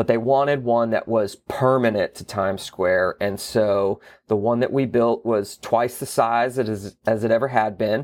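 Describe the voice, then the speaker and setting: A plain, everyday voice, a man with an American accent speaks at a medium pitch and moderate pace with fairly even intonation and hardly any pauses, on a very clean recording with a silent background. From US South, Florida Panhandle. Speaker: theater executive director. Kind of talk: interview.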